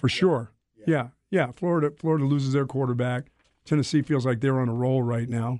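The man's tone is dark and mellow. He speaks fairly quickly with fairly even intonation. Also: medium pitch for a man. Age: 60s. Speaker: sports radio host. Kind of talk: casual sports talk radio. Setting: radio studio.

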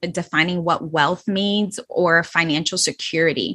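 In a plain, everyday voice, a woman speaks at a fairly slow pace on a very clean recording with a silent background. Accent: American. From New York City, the Bronx. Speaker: financial coach. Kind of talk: casual chat.

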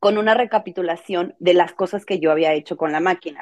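The speaker has a Mexican accent. The sound is dry and close, with no echo. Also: woman. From Mexico. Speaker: content creator and crafts teacher. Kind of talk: casual interview chat. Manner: fast.

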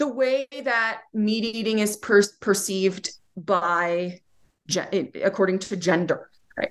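Ordinary pitch variation, with a Utah accent. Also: woman. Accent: American (Utah). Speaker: philosophy professor. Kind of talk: interview.

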